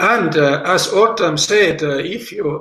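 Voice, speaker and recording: A man speaks at a very slow pace. Audible room echo is present. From South Estonia, Võro County. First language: Võro. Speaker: language teacher. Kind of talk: lecture. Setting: online seminar. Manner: halting, many fillers.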